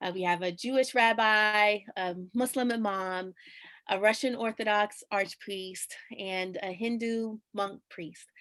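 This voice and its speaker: A woman of medium pitch speaks at a very slow pace with fairly even intonation in a very clean recording with a silent background. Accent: New York. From New York. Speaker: chaplain. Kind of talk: scripted presentation; interview answer.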